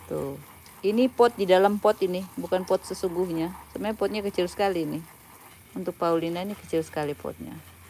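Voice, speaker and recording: Over light background noise, a woman speaks at a very fast pace with ordinary pitch variation. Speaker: plant hobbyist vlogger. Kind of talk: livestream tutorial. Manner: casual, chatty. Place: garden. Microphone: phone near.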